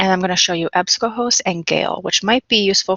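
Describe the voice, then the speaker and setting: A woman's medium-pitched voice at a very fast pace. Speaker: reference and instruction librarian. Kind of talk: recorded online library research instruction with screen sharing. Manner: fast when excited.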